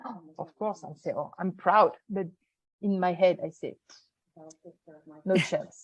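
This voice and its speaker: A somewhat breathy woman with a French accent, taking long, frequent pauses. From France. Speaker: event producer, business owner. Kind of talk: interview answer.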